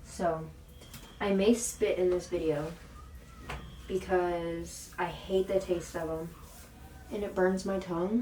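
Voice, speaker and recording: Over noticeable background noise, a woman talks very slowly with long, frequent pauses, a medium pitch and fairly even intonation. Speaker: beauty and lifestyle vlogger. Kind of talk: casual vlog talk. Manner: casual, filler-heavy.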